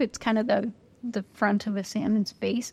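Recorded very cleanly against a silent background with a dry, close sound and no echo, a woman speaks in a plain, everyday voice, fairly high in pitch, with fairly even intonation. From Northern California. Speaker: citizen science association executive officer. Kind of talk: interview. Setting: pub meal.

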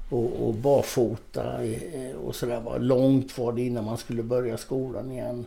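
The voice moves at a moderate pace with monotone, flat intonation. Noticeable background noise and audible room echo are present. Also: man, medium pitch for a man. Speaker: former bodybuilding champion and author. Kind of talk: casual interview.

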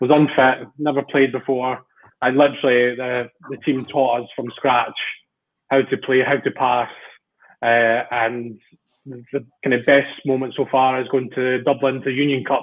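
Monotone and flat, a man with a Scottish accent speaks at a medium pitch and a fairly slow pace. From Central Scotland. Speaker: amateur rugby player. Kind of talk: casual chat. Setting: video call.

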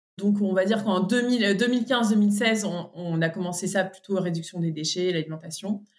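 Her medium-pitched voice moves at a moderate pace with ordinary pitch variation and hardly any pauses, a woman speaking. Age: 30s. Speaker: podcast guest, mother. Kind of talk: casual interview. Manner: hesitant, many fillers.

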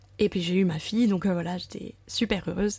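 A woman talks at a medium pitch and a moderate pace. Her intonation is fairly even. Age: 30s. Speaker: primary school teacher sharing motherhood testimony. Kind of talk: testimony. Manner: hesitant, many fillers.

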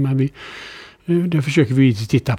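This man's voice has a dark, mellow tone and medium pitch. He speaks at a fairly quick pace. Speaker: investor. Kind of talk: interview.

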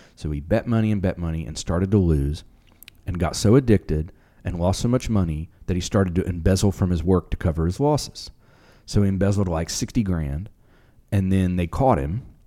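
A man's very deep, low voice with a dark, mellow tone, ordinary pitch variation and a fairly quick pace. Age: 40s. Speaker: podcast co-host. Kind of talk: casual chat.

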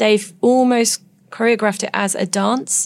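A woman speaks with an English accent and fairly even intonation. The recording is very clean, with a silent background. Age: 40s. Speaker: nurse turned author. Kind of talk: interview.

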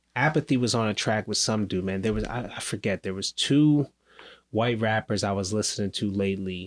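A normal speaking voice from a man, medium-pitched with ordinary pitch variation at a moderate pace, in a very clean recording with a silent background. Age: 30s. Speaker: podcast host. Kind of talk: casual podcast interview.

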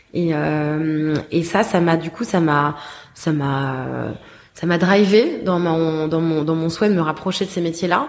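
Noticeable background noise sits behind a woman with a fairly low pitch. She speaks at a very slow pace with fairly even intonation. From France, Paris. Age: 20s. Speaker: tech entrepreneur, app founder. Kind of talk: interview. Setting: office. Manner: halting, many fillers and repetitions.

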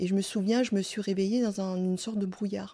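On a very clean recording with a silent background, a woman speaks at medium pitch and moderate pace in a dark, mellow tone. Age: 50s. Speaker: stroke survivor. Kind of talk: testimony. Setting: at her home. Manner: halting, stumbling over words.

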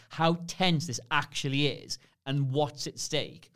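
A man speaks in a fairly high voice with fairly even intonation. The recording is very clean, with a silent background. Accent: Geordie. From Newcastle, northern England. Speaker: podcast guest, former film website colleague. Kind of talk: casual chat.

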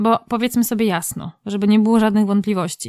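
Recorded very cleanly with a silent background and a dry, close sound with no echo, a woman has an ordinary speaking voice, fairly high in pitch, and speaks at a fairly quick pace with fairly even intonation. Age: 30s. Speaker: podcast host. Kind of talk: scripted narration; interview.

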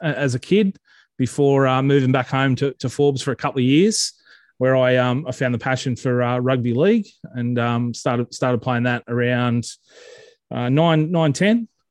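In an Australian accent, a man speaks at medium pitch and a moderate pace with ordinary pitch variation, the sound dry and close with no echo against a quiet background. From Central West New South Wales, Australia. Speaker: social media page creator. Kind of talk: casual interview. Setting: video call. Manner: halting, many fillers.

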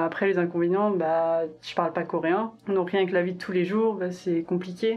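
This woman talks at a moderate pace with hardly any pauses. Her pitch is medium and her intonation monotone and flat. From rural France. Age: 20s. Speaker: podcast guest, expat in Korea. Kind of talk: casual chat.

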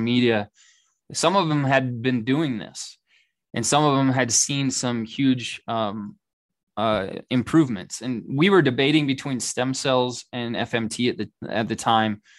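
Over a quiet background, a man talks at a moderate pace. His pitch is medium with ordinary pitch variation. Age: 30s. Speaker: father, health advocate. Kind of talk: interview testimony. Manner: hesitant, many fillers.

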